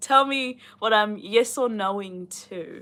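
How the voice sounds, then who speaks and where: Her voice, a woman's, sits at a fairly high pitch with lively intonation. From New Zealand, Rotorua. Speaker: booktuber reading a novel aloud on a livestream. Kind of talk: reading aloud with casual chat to live viewers. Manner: casual, chatty with many fillers.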